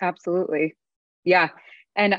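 A woman with an unremarkable speaking voice talks at a moderate pace and medium pitch, with ordinary pitch variation. The background is quiet. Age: 20s. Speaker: podcast host. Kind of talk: casual chat.

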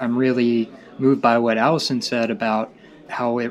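With noticeable background noise behind him, a man with an American accent speaks at a medium pitch and a moderate pace in a monotone, flat intonation. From Tennessee. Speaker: graduate student. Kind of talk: casual chat.

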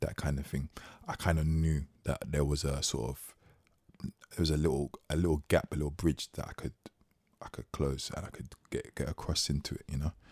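Vocal fry in a monotone, flat intonation. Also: man, very deep, low pitch for a man, moderate pace, dry, close sound with no echo. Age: 30s. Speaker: podcast co-host. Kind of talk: casual chat.

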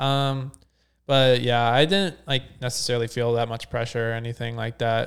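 A man with an American accent talks at a fairly quick pace in an ordinary speaking voice. His pitch is medium and his intonation fairly even. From Ohio, near Cincinnati. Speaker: competitive swimmer. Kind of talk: interview.

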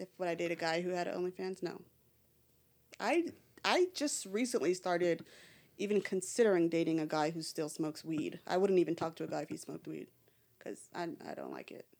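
With a fairly low pitch and ordinary pitch variation, a woman talks at a fairly quick pace, leaving long, frequent pauses while her loudness swings widely. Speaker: podcast guest. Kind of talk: casual chat. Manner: outspoken.

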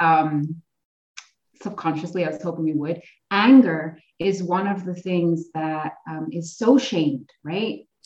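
In an ordinary speaking voice, a woman speaks fairly slowly at a fairly low pitch, with ordinary pitch variation and big swings in loudness. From Ontario, Canada. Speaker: massage therapist and somatic coach. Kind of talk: casual chat.

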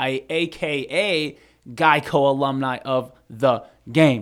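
A man talks at a fairly high pitch with fairly even intonation. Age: 20s. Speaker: sports podcast co-host. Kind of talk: casual chat.

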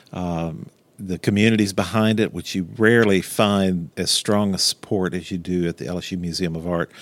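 A man with a Louisiana accent speaks at a moderate pace in a very deep, low pitch with fairly even intonation. The recording is very clean, with a silent background. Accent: Louisiana Southern US. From Louisiana, Baton Rouge. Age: 60s. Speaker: museum director. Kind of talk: interview. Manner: halting.

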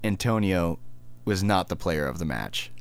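With an American accent, a man speaks at a very deep, low pitch. His voice has vocal fry, and his pace is fairly slow. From United States. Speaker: podcast co-host. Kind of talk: casual chat. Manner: halting, many false starts.

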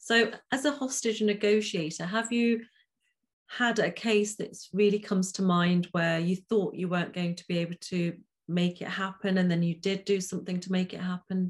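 The speaker is a woman with a somewhat breathy voice. Her pitch varies in an ordinary way. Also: medium pitch for a woman, moderate pace. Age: 50s. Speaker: podcast host and life coach. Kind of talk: interview. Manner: calming.

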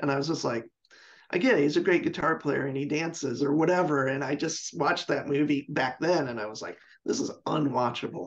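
A man with an American accent uses an unremarkable speaking voice, fairly high in pitch with ordinary variation, at a fairly quick pace. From US Pacific Northwest, Seattle. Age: 50s. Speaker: professional guitarist. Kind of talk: casual chat.

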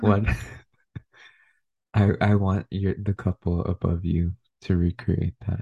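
Whispering very slowly and soft-spoken, a man sounds somewhat breathy, leaving long, frequent pauses, in a dry, close recording with no echo and a quiet background. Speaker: podcast co-host. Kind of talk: casual chat. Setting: at home at midnight. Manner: soft-spoken, near whisper.

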